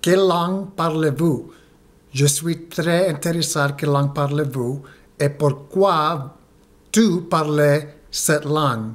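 A man's fairly high voice at a very slow pace, with long, frequent pauses and fairly even intonation. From United States, Mexican-Guatemalan family. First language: English and Spanish (speaking French). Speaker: French learner vlogger. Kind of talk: video diary monologue. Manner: halting, hesitant. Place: home room. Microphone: phone near.

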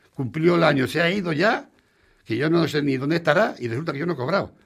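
A man talks at a very fast pace with lively intonation over a quiet background. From Spain. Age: 60s. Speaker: restaurant owner; radio guest. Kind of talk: interview. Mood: frustrated, complaining. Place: studio. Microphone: studio mic.

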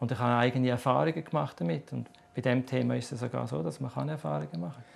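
Very wide pitch swings mark this man's voice. He talks at a very fast pace. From Switzerland. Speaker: author on reincarnation. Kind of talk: TV interview answer. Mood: calm, explanatory. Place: studio.

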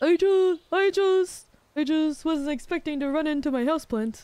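A put-on character voice with a high pitch comes through at a moderate pace. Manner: gruff, put-on.

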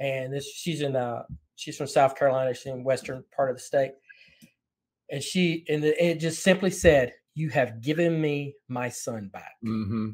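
A man with an unremarkable speaking voice and a fairly high pitch talks at a moderate pace with ordinary pitch variation and big swings in loudness. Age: 50s. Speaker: podcast host. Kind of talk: interview conversation. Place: home room.

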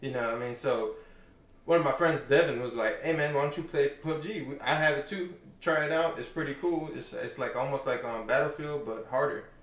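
In a room with audible echo, a man talks at a fairly quick pace and a fairly high pitch, with ordinary pitch variation. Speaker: gamer and coworker; podcast host or guest. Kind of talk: casual chat. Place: home room.

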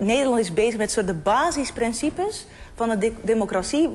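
Her pitch is fairly high, and she uses a normal speaking voice. The woman talks at a moderate pace with lively intonation. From abroad, came to the Netherlands. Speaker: panel guest. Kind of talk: heated debate.

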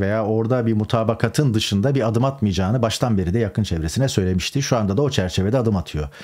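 A man with a medium-pitched, dark, mellow voice talks at a very fast pace. His intonation is lively, and the background is quiet. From Turkey. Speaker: political commentator, journalist. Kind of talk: political news commentary monologue. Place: home room.

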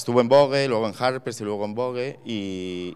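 At a moderate pace, a man speaks. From Spain, Extremadura (Cáceres); Extremadura, Spain. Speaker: fashion creative director; guest. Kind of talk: lecture. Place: hall. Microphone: handheld.

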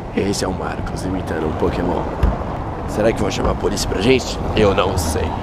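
Over loud background noise, a man talks at a fairly quick pace with ordinary pitch variation. The sound is dry, with no echo. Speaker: vlogger. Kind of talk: casual vlog chat. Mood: playful, joking. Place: street. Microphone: phone near.

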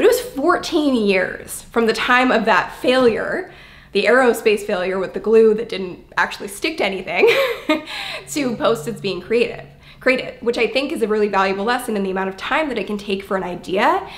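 A woman speaks with lively intonation. Her pace is moderate. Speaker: business coach vlogger. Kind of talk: casual vlog storytelling. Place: home room. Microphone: phone near.

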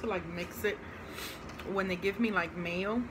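There is noticeable background noise. Through it, a woman talks at a moderate pace, her pitch varying in an ordinary way. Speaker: food reviewer. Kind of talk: casual vlog chat. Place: home room. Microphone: phone near.

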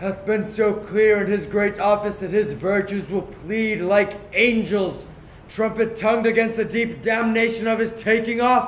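Flat and monotone, a man's high-pitched voice moves at a fairly slow pace, with audible room echo and light background noise. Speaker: stage actor. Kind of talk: dramatic verse soliloquy. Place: stage. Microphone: camera far.

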